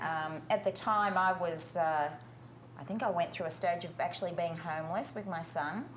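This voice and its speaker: A woman speaks with an Australian accent, and audible room echo is present. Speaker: skincare company founder. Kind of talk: interview.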